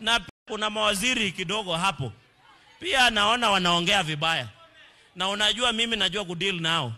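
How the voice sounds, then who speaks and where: With very wide pitch swings and an animated tone, a man uses a raised, projected voice. He speaks at a fairly slow pace over light background noise. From Kenya. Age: young. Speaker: politician. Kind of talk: political rally speech. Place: hall. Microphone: handheld.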